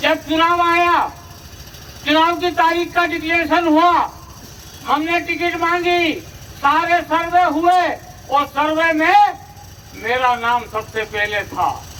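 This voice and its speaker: Against noticeable background noise, a man with an extremely high pitch uses a raised, projected voice, ordinary pitch variation, and long, frequent pauses. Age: 70s. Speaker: politician. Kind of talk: campaign speech. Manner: animated.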